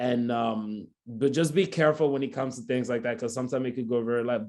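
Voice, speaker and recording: A man with a West African accent at a medium pitch and a fairly quick pace, against a quiet background. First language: not English. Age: 20s. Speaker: photographer. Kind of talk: talk with Q&A. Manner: fast.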